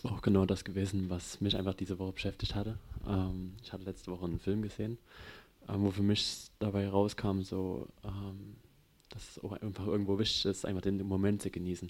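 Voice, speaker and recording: This man's fairly low voice holds a monotone, flat intonation. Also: fairly quick pace. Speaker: congregation member. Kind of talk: testimony.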